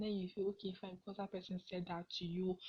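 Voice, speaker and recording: At a medium pitch, a woman speaks with monotone, flat intonation and a somewhat breathy voice. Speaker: podcast host. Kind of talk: casual advice monologue.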